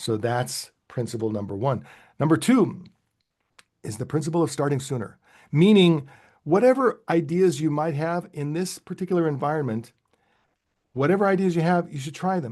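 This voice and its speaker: Over a quiet background, a man with a fairly high pitch speaks with lively intonation and long, frequent pauses. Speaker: sales leadership expert. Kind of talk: webinar panel talk. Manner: fast; halting, many fillers and restarts.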